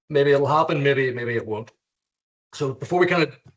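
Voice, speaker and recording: With an Irish accent, a man talks with ordinary pitch variation. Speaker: lawyer and contracts trainer. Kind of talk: webinar lecture. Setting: video call. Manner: casual, hesitant with fillers.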